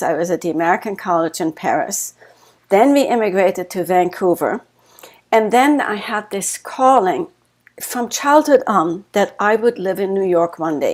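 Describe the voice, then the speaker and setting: A woman speaks with a German accent at a fairly slow pace. Her medium-pitched voice has lively intonation. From Germany. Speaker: author and life coach. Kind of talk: interview.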